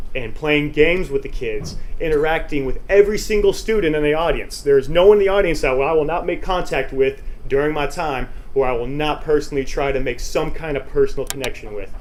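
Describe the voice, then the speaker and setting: In an American accent, a man speaks at a fairly quick pace with an animated tone, with audible room echo and noticeable background noise. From Texas. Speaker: motivational speaker. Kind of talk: conference presentation.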